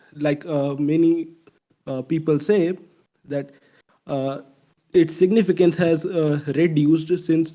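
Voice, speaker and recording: Very slowly and in a monotone, flat intonation, a man with an Indian accent speaks at a fairly high pitch. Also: long, frequent pauses. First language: not English. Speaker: audience member in live discussion. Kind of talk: casual debate in voice chat. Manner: halting, many fillers.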